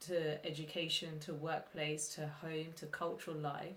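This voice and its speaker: A woman speaks at a fairly slow pace, somewhat breathy. Her pitch sits fairly low. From England, Luton. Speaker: podcast co-host. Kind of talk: casual discussion. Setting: remote call with laptop.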